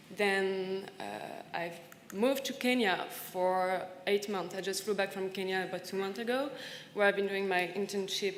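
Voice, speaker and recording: In a French accent, a woman speaks at a moderate pace and a medium pitch, with audible room echo around her. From France, partly raised in Senegal. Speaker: panelist, recent graduate. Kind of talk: conference panel talk. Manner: halting, many fillers and repetitions.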